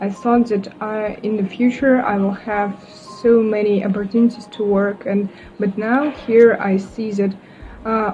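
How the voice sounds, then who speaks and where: A woman with a Russian accent speaks at a fairly slow pace in a fairly high pitch, her intonation flat and monotone, over noticeable background noise. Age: 20s. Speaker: university student. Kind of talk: casual interview. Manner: halting, many fillers.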